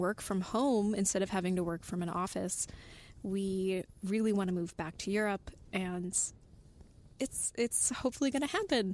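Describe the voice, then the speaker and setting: A woman with an unremarkable speaking voice and an American accent talks at medium pitch and a moderate pace. Her loudness stays very even on a very clean recording with a silent background. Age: 20s. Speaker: podcast writer. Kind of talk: casual chat.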